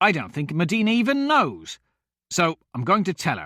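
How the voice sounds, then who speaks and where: A man growls in a put-on character voice at a moderate pace, his pitch swinging very widely in a dry, close sound with no echo. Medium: read story.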